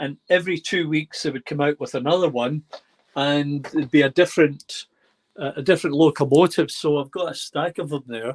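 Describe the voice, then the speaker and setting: Here a man talks at a fairly quick pace with a fairly high pitch and fairly even intonation. The sound is dry and close, with no echo. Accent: Scottish. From Scotland, Glasgow. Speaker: model railway hobbyist. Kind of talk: casual chat, video call. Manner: hesitant, many fillers.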